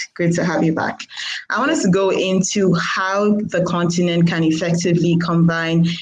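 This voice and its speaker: Speaking at a moderate pace, a woman keeps a fairly low pitch and a monotone, flat intonation. Audible room echo and noticeable background noise fill the recording. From Nigeria. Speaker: moderator, journalist. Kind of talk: panel moderation.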